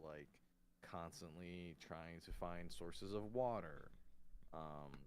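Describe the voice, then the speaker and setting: A quiet man with a very deep, low pitch. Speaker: vtuber streamer. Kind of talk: casual chat. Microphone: too quiet on stream.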